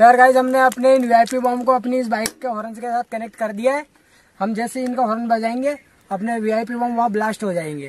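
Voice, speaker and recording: A man at an extremely high pitch and a moderate pace, in a dry sound with no echo. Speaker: experiment video host. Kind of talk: casual vlog chat. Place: open country. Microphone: phone near.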